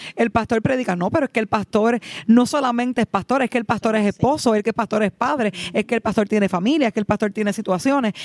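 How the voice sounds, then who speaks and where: This woman has a plain, everyday voice, fairly high in pitch. She talks at a fairly quick pace, and the sound is dry and close with no echo. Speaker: pastor. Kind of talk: casual chat.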